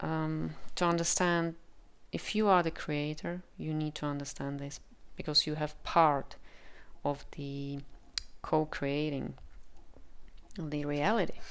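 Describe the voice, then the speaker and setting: In a Czech accent, a woman talks at a fairly slow pace in a very deep, low pitch with fairly even intonation and long, frequent pauses. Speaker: tarot reader. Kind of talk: tarot reading with channeled messages. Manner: halting, with frequent fillers.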